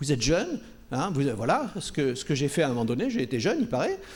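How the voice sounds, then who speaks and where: This man's very wide pitch swings come at a fairly quick speed. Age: 70s. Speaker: panel speaker at a public debate. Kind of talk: panel discussion. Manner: halting, many repetitions and fillers.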